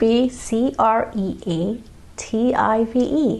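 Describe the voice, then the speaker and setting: A woman speaks with a fairly high pitch and lively intonation. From Malaysia. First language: Malay. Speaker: painter and channel host. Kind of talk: channel introduction monologue.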